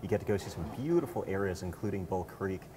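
Over noticeable background noise, a man speaks at a fairly quick pace with a very deep, low pitch. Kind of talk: interview answer. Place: hall. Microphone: lapel.

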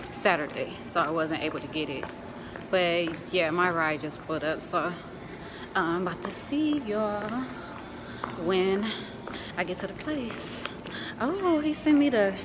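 Noticeable background noise accompanies a woman who talks fairly slowly, stopping often for long pauses. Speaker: vlogger. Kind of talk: casual vlog chat. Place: hall. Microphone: phone near.

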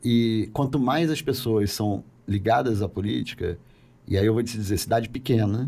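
A man talks at a moderate pace. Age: 40s. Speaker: politician. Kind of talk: podcast interview. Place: studio. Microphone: studio mic.

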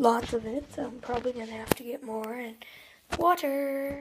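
A woman with a high pitch speaks at a moderate pace and fairly even intonation. Her loudness swings widely. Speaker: DIY tutorial video maker. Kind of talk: tutorial. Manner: casual, chatty.

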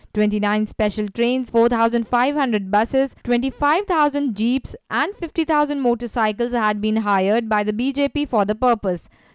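An unremarkable speaking voice from a woman, fairly high in pitch with ordinary pitch variation, in a dry, close sound with no echo. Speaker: news reporter. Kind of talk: news report narration.

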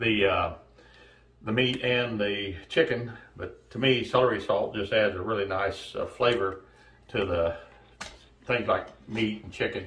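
Audible room echo surrounds speech that moves at a fairly slow pace with long, frequent pauses and fairly even intonation. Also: man. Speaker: home cooking show host. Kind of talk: tutorial. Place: kitchen.

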